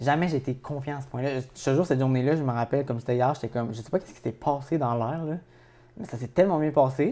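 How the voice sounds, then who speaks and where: At a very fast pace, a man with a Quebec accent speaks with a fairly high pitch, a dark, mellow tone and ordinary pitch variation. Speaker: podcast co-host. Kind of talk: casual chat.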